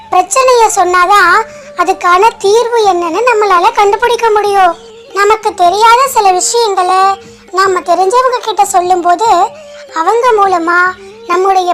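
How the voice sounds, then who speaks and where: A woman uses a cartoonish character voice at an extremely high pitch, speaking at a fairly slow pace over clear music in the background. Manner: encouraging, friendly.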